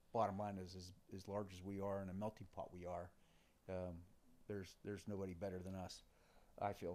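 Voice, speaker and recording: Speaking with an American accent, a man uses a dark, mellow tone at a fairly low pitch and a fairly quick pace. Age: 60s. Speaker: defense industry executive. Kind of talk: podcast interview.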